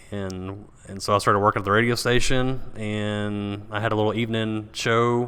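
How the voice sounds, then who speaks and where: In a Texan accent, this bright, sharp voice keeps a monotone, flat intonation at a moderate pace, with hardly any pauses and big swings in loudness. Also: man, fairly low pitch for a man. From Texas, Paris. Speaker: entrepreneur and former radio DJ. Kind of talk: casual interview.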